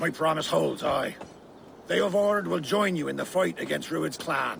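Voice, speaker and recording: Over clear background noise, a man uses a put-on character voice. It is raspy and delivered at a moderate pace. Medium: video game.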